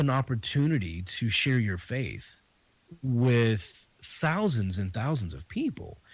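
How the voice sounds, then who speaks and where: A man with a Southern US accent, a fairly slow pace, a medium pitch, a somewhat breathy voice and lively intonation. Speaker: comedian and podcast host. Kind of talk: casual interview chat.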